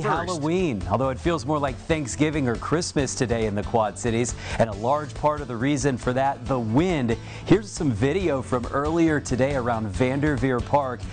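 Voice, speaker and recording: Music plays in the background as a man talks at a moderate speed. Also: medium pitch for a man, lively intonation. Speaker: TV meteorologist. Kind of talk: TV weather forecast.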